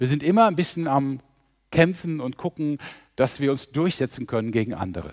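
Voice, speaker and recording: A man speaks at a moderate pace and a fairly high pitch, with lively intonation, in an unremarkable speaking voice. The background is quiet. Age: 60s. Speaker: mission organisation leader, preacher. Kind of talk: sermon.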